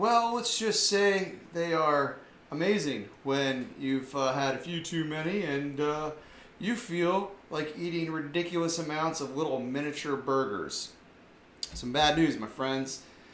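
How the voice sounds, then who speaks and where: A man with an American accent and ordinary pitch variation, amid audible room echo and noticeable background noise. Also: fairly high pitch for a man, fairly slow pace. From US South. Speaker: online commentary show host. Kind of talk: casual commentary monologue; reading news aloud. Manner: animated.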